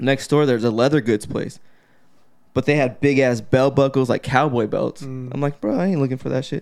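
A man with an ordinary speaking voice, medium in pitch, at a fairly quick pace with fairly even intonation, on a very clean recording against a silent background. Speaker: podcast host. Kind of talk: casual banter podcast chat.

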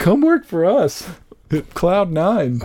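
A whiny, put-on character voice at middle pitch. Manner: whining, mocking.

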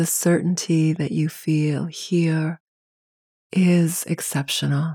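A woman's very deep, low voice, somewhat breathy, dark and mellow in tone, soothing, monotone and flat, at a very slow pace. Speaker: meditation guide. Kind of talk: guided meditation. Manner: soft, slow, soothing.

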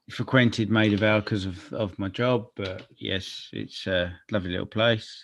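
In a quiet background, a man with a London accent speaks at a moderate pace with hardly any pauses, a fairly low pitch and fairly even intonation. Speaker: podcast co-host. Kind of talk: casual chat.

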